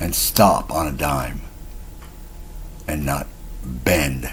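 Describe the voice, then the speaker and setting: A man's very deep, low voice with lively intonation, amid audible room echo and noticeable background noise. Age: 60s. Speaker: self-styled spiritual teacher vlogger. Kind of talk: casual monologue vlog. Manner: rambling with hesitations.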